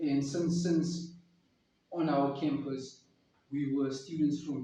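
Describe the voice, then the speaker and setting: In an Afrikaans South African accent, a man speaks fairly slowly in a dark, mellow, somewhat breathy voice with monotone, flat intonation and audible room echo. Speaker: vlogger. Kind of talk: casual talk to camera. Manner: halting, repeats words.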